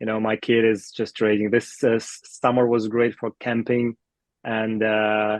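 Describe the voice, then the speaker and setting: A man with a Russian accent speaks at medium pitch and a fairly slow pace, the sound dry and close with no echo. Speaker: product discovery team lead. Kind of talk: podcast interview. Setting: remote call. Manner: halting.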